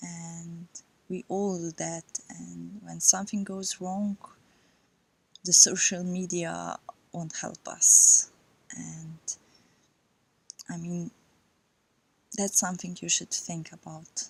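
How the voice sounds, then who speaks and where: Speaking at a very slow pace with a non-native accent, a woman leaves long, frequent pauses. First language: not English. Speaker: yoga vlogger. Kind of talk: personal vlog monologue. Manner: halting.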